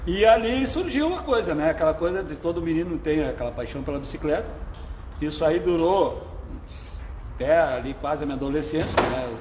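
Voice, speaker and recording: A man talks at a fairly quick pace amid noticeable background noise, with audible room echo. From southern Brazil, Porto Alegre. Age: 60s. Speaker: veteran cyclist. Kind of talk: interview on live stream. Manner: casual, conversational.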